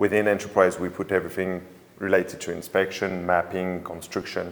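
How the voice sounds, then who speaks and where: A man with a French accent speaks fairly quickly in a very deep, low, monotone voice with flat intonation. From France. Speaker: drone company sales manager. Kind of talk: webinar interview. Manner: halting.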